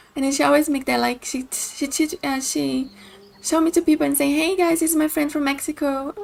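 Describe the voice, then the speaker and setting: A woman with a high-pitched voice speaks in a fairly even intonation over noticeable background noise. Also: fairly quick pace. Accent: Brazilian. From Brazil. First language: Portuguese. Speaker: video game streamer. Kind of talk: casual chat; reading aloud. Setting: live stream.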